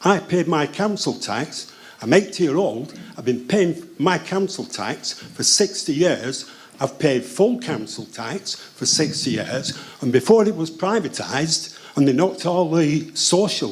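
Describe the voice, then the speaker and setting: Lively intonation from a man at a fairly high pitch and fairly slow pace, amid noticeable background noise. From northern England, Oldham. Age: 80s+. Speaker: audience member asking a question. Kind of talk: heated debate. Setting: town hall event with live audience. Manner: insistent, interrupting.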